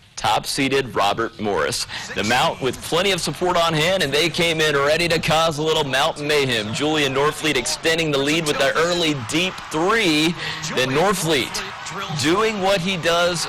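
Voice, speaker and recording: Amid noticeable background noise, a man with a fairly high pitch talks with ordinary pitch variation and very even loudness. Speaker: sports anchor and reporter. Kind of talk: TV sports anchor game recap. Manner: energetic, conversational.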